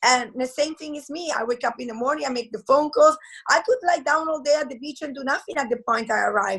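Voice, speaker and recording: This woman has a high pitch and a strong Italian accent. She talks at a very fast pace with big swings in loudness. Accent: heavy Italian. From Italy. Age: 40s. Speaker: network marketing entrepreneur. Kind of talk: interview. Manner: halting.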